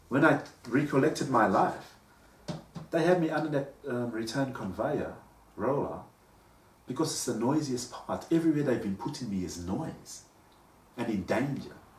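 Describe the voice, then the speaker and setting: Long, frequent pauses and big swings in loudness mark this man's lively intonation, heard with an audible room echo. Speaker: vlogger. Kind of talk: personal monologue. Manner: halting.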